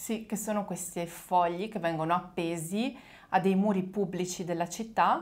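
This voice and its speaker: A woman talks in an unremarkable speaking voice at a medium pitch. Her pace is moderate and her intonation fairly even. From small village in northern Italy. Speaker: Italian teacher. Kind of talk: casual chat.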